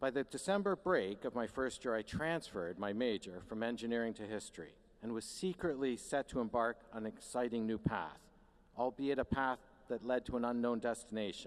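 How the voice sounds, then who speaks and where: A man's plain, everyday voice, medium in pitch, with a Canadian accent, lively intonation and a fairly quick pace. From Canada. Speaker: university administrator, commencement speaker. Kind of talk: commencement address. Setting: stage with audience.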